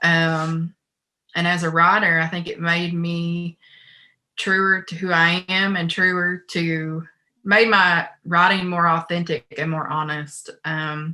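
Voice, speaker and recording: In a very clean recording with a silent background, a woman with an Appalachian accent and a bright, sharp tone speaks very slowly at a fairly low pitch, her intonation monotone and flat. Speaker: poet. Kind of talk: panel discussion.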